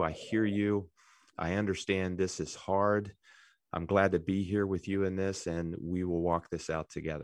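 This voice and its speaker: A man with an American accent, a very deep, low pitch and monotone, flat intonation. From West Virginia. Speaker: professional counselor. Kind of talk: interview. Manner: measured, hesitant with fillers.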